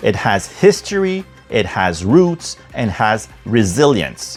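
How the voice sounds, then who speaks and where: Music plays in the background as a man speaks at a fairly slow pace. His pitch swings very widely. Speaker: political commentator. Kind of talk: podcast political commentary.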